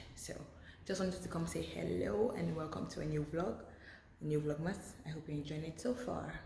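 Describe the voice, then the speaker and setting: A woman whispers at a fairly quick pace, with noticeable background noise and audible room echo. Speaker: lifestyle vlogger. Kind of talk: casual vlog. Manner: whispering.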